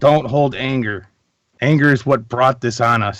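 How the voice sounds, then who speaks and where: Using a put-on character voice, a man speaks at a moderate pace with fairly even intonation. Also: medium pitch for a man. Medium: actual play. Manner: confrontational, earnest.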